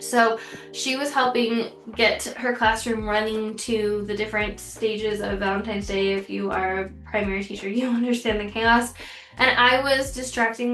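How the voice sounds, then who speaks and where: The speech moves at a moderate pace with fairly even intonation. Noticeable background noise and audible room echo surround it. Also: woman. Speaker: teacher. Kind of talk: tutorial.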